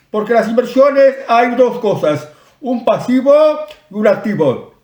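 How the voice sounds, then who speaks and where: This man's voice sits extremely high in pitch, with ordinary pitch variation. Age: 60s. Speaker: online commentator. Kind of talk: advice talk to camera. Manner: casual, some hesitations.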